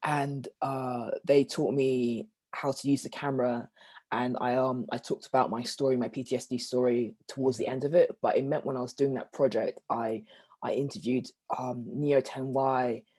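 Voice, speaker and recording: A man's medium-pitched voice with a dark, mellow tone at a moderate pace, dry and close with no echo, on a very clean recording with a silent background. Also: fairly even intonation. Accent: London. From South London. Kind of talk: interview conversation. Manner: halting, many fillers.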